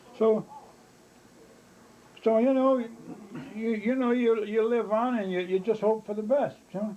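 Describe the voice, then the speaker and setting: A man speaks at a high pitch and a fairly slow pace, with fairly even intonation. He takes long, frequent pauses. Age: 80s+. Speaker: grandfather recalling illness. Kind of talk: casual family chat. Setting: cabin in New Hampshire. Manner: halting, many repetitions and fillers.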